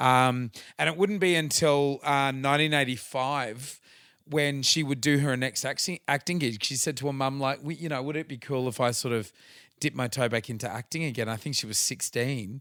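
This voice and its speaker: An Australian-accented man at a medium pitch, bright and sharp in tone, moderate in pace with ordinary pitch variation, on a very clean recording with a silent background. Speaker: podcast host and tribute band singer. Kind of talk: casual chat.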